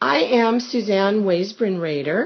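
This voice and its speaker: A woman with an ordinary speaking voice talks at a fairly slow pace with ordinary pitch variation. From US West Coast, Los Angeles. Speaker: family interviewer. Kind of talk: family oral history interview.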